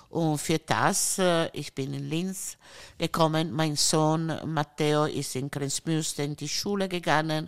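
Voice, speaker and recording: With an Italian accent, a woman talks at a very slow pace in a very deep, low pitch, the sound dry and close with no echo on a very clean recording with a silent background. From Italy, Friuli. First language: Italian (speaking German). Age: 60s. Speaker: countess. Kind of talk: casual chat. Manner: halting.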